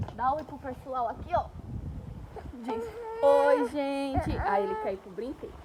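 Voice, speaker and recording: Over noticeable background noise, a woman speaks very slowly at a high pitch with very wide pitch swings. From Brazil, Pernambuco (Northeast). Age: 20s. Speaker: vlogger, nail technician. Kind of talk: casual vlog monologue. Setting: outdoors in a park.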